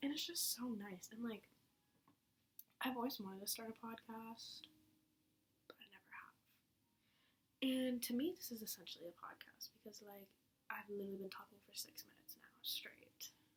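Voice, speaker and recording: A woman with a fairly high, somewhat breathy voice stops often for long pauses. Her loudness swings widely while her pitch moves an ordinary amount. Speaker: podcaster. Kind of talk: casual monologue. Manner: fast, rambling run-on speech. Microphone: laptop mic.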